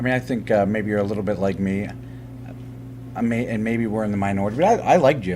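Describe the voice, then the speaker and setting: A man's fairly low voice with ordinary pitch variation, very fast pace and long, frequent pauses, in audible room echo. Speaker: interviewer. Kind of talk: interview. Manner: loud; halting.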